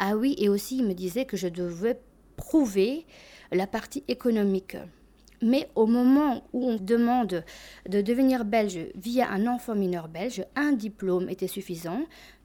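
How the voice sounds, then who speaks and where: Speaking at a fairly slow pace, a woman uses a fairly high pitch with ordinary pitch variation. Her tone is dark and mellow. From Albania, raised in Belgium from age 7. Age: 20s. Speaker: immigrant telling her story. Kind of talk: testimony.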